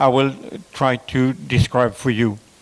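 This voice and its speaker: This is a man speaking. He talks with a French accent. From France. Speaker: conference speaker on telemedicine. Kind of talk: conference presentation. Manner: halting, many fillers.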